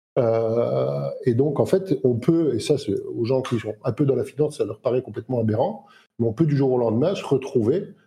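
A man with a somewhat breathy, medium-pitched voice speaks at a moderate pace with ordinary pitch variation. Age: 50s. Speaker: entrepreneur and crypto investor. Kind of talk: casual chat.

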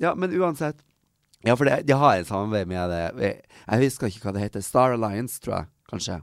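This man talks at a fairly quick pace from a medium pitch, his voice making very wide pitch swings. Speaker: podcast co-host. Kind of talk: casual chat. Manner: coughing.

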